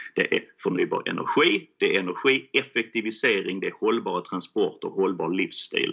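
At a moderate pace, a man talks with hardly any pauses. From Skåne, southern Sweden (Helsingborg). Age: 40s. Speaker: fund founder. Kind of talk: interview. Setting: remote recording.

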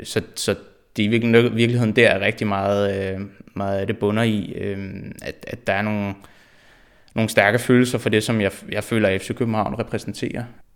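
In a very clean recording with a silent background, a man speaks. His intonation is monotone and flat, broken by long, frequent pauses. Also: fairly low pitch for a man, moderate pace. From Denmark, Frederiksberg (Copenhagen). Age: 20s. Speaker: football fan. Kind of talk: interview. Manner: halting, many repetitions and fillers.

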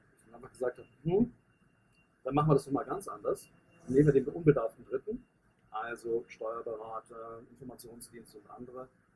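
A man's somewhat breathy voice, dark and mellow, at medium pitch with ordinary pitch variation, a fairly quick pace, big swings in loudness, and long, frequent pauses. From northern Germany, Hanover. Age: 50s. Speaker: business coach and network marketer. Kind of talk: podcast interview. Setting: in person, outdoors in the sun.

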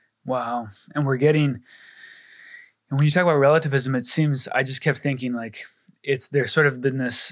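A man with an American accent speaks at a medium pitch with ordinary pitch variation, in an unremarkable speaking voice. The recording is very clean, with a silent background. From Arizona, US. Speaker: ministry staff member. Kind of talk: casual chat.

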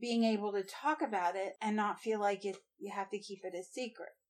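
With a normal speaking voice, a woman talks at a fairly high pitch with fairly even intonation. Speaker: guest, wife. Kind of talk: casual interview chat.

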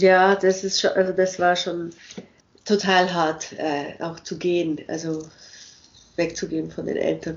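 A woman with a fairly low pitch speaks fairly slowly in a monotone, flat way, with long, frequent pauses. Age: 50s. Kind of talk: interview.

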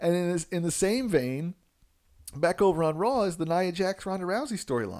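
In a very clean recording with a silent background, a man with an American accent speaks at a moderate pace, high in pitch, with lively intonation. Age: 30s. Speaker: podcast host. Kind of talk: casual solo podcast talk.

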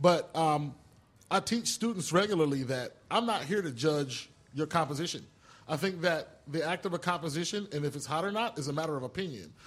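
A normal speaking voice from a man, fairly high in pitch, fairly quick, with ordinary pitch variation. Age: 40s. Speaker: music producer and media school dean. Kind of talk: casual interview.

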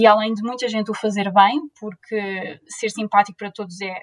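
This woman has a normal speaking voice with a fairly high pitch and fairly even intonation. The sound is dry and close, with no echo. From Portugal, Leiria. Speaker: zero-waste influencer and PhD student. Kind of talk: interview.

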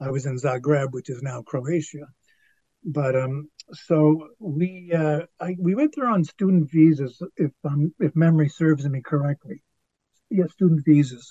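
At a fairly slow pace, a man talks with a somewhat breathy voice. His pitch is fairly high, with ordinary pitch variation. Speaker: actor and writer. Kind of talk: casual chat. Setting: video call.

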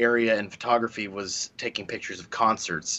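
This is a man with an unremarkable speaking voice. He talks at a moderate pace with ordinary pitch variation. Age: 30s. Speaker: game developer. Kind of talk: casual chat.

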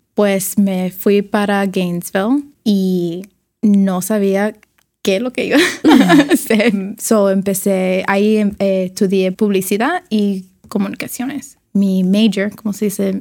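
Speaking very slowly in a Cuban accent, a woman keeps a medium pitch and fairly even intonation. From Miami, Cuban-American family. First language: English (speaking Spanish). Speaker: designer. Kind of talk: interview. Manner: halting, code-switching Spanglish.

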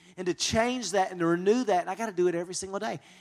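In a very clean recording with a silent background, a man with a high voice for a man talks in a Southern US accent, using ordinary pitch variation. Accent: US South. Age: 40s. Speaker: pastor and marriage conference speaker. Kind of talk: conference talk.

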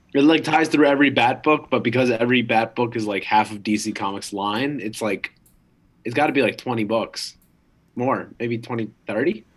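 In a normal speaking voice, a man speaks at medium pitch and a moderate pace with ordinary pitch variation. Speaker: podcast co-host. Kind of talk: casual chat.

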